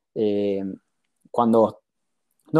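A man speaks with a Rioplatense accent in a dark, mellow tone. The recording is very clean, with a silent background. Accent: Argentine Rioplatense Spanish. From Argentina, Mar del Plata. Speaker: startup founder, former lawyer. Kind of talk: interview.

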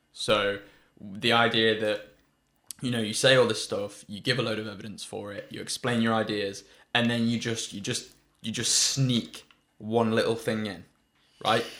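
With a British accent, a man speaks at a moderate pace with medium pitch, monotone, flat intonation, and long, frequent pauses. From UK. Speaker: podcast co-host. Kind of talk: casual chat.

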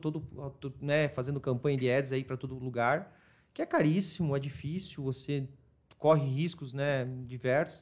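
Here a man speaks in a fairly high pitch. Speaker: marketing agency specialist in retail. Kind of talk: casual interview chat. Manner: fast.

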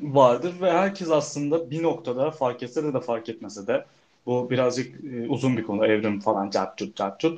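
With a normal speaking voice, a man talks at a medium pitch and a moderate pace, using lively intonation. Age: 20s. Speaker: podcast co-host, photography student. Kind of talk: casual chat.

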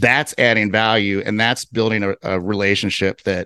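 A man's voice, dry and close with no echo, over a quiet background. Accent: American. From US Midwest, Cincinnati, Ohio. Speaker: real estate investor. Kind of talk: interview.

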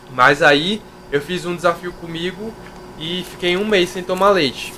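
A man's high-pitched voice with fairly even intonation, set against noticeable background noise. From Brazil, interior of Minas Gerais. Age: 20s. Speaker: fitness youtuber and physical education student. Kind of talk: casual interview chat.

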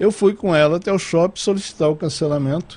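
A man talks at a moderate pace. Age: 60s. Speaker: TV and radio station director. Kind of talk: casual interview chat. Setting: studio.

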